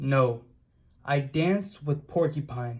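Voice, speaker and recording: A man adopts a put-on character voice and talks at a fairly slow pace. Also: fairly high pitch for a man. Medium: read story.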